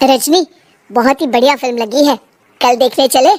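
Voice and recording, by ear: A woman does a cartoonish character voice in a high pitch with ordinary pitch variation. She keeps a moderate pace, and the sound is dry and close with no echo.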